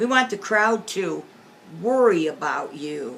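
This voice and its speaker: A woman growls in a put-on character voice at a medium pitch, fairly slow, with very wide pitch swings. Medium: read story. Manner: stern.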